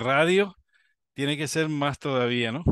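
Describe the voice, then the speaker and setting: Over a quiet background, a man speaks at a fairly slow pace in a dry sound with no echo. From Spain. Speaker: amateur radio show host. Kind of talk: interview. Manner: halting, repetitive. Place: home room. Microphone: video call.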